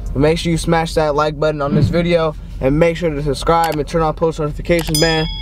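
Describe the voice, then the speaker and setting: A man speaks in a monotone with flat intonation. The sound is dry with no echo, and there is light background noise. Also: fairly quick pace. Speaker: vlogger host. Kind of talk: casual vlog chat. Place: car. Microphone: camera far.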